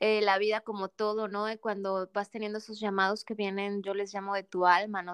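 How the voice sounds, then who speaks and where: A woman speaks at medium pitch in a very clean recording with a silent background, the sound dry and close with no echo. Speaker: transpersonal coach. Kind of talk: interview conversation. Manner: calm, soothing.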